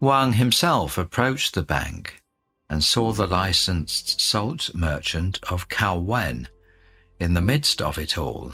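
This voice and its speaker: A man speaks very slowly with vocal fry in a very deep, low voice. His tone is bright and sharp, and his pitch swings very widely. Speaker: radio host. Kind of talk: reading aloud. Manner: clear.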